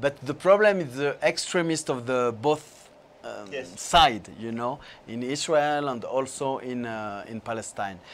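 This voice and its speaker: Very slow speech with lively intonation and big swings in loudness. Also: man. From France. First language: French (speaking Spanish). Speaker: film director; guest. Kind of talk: interview. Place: studio. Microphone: lapel.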